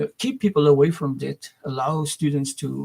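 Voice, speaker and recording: Somewhat breathy, with a dark, mellow tone and a fairly high pitch, a man speaks in a dry, close sound with no echo. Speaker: educator and school founder. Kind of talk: video monologue. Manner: fast; halting, many repetitions and fillers.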